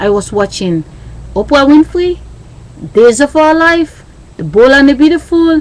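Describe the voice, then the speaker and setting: Fairly slow speech from a woman with a Sierra Leonean accent over noticeable background noise. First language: Krio. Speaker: vlogger. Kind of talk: monologue. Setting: webcam recording.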